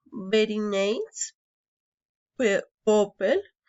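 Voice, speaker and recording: A woman's fairly high voice with a Colombian accent. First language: Spanish. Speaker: engineering student. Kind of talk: prepared personal anecdote in a foreign language. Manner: halting, with hesitations and false starts.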